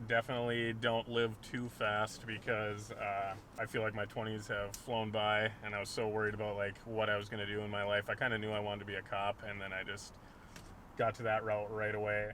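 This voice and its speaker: In an Upper Midwest accent, a man talks at a fairly quick pace with a fairly low pitch and flat, monotone intonation. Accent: Upper Midwest American. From Duluth, Minnesota. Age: 20s. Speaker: police officer. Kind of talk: street interview.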